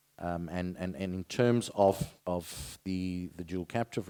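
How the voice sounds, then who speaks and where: A man's very deep, low voice with a South African accent, dark and mellow in tone, fairly even in intonation, dry and close with no echo. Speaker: insurance company director on a panel. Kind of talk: panel discussion.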